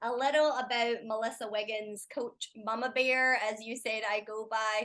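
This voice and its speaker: This woman speaks with a Scottish accent in a bright, sharp tone. Her pitch is fairly high but her intonation stays monotone and flat. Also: moderate pace. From Scotland, Edinburgh. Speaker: life coach and former lawyer. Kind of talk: podcast interview.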